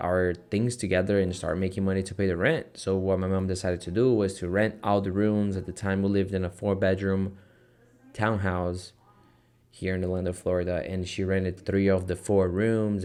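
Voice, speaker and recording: With a slight Brazilian accent, a man talks at a moderate pace in a very deep, low pitch and a monotone, flat intonation, on a very clean recording with a silent background. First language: Portuguese. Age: 20s. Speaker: online entrepreneur vlogger. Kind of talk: casual vlog talk to camera. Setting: office. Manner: hesitant, many fillers.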